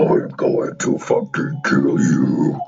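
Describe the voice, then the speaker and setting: A man growls in a raspy, put-on character voice. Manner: menacing.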